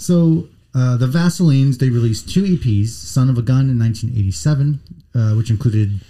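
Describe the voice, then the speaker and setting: A man speaks at a moderate pace with lively intonation. His tone is dark and mellow, and somewhat breathy. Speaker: podcast host. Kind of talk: casual chat.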